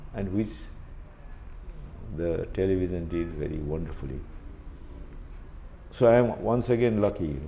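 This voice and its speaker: A man with a very deep, low pitch and a dark, mellow tone speaks at a moderate pace with lively intonation. He leaves long, frequent pauses, and the room echo is audible. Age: 70s. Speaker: retired media executive. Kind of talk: interview. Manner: hesitant, many fillers.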